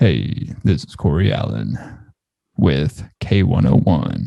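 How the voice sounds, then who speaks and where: In a put-on character voice, a man speaks very deep and low at a fairly slow pace, with very wide pitch swings and big swings in loudness. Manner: soft, sultry talk.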